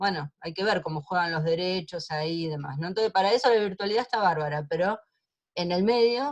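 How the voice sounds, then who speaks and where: A woman talks at a fairly quick pace and medium pitch with lively intonation, in an ordinary speaking voice. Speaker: lawyer in human rights trials. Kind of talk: online seminar talk.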